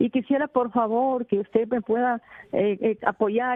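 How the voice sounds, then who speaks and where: At a moderate pace, a woman talks with fairly even intonation and a fairly high pitch. Hers is a normal speaking voice. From Peru, Tumbes. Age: 60s. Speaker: caller, rural resident. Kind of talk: call-in plea. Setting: phone call to radio.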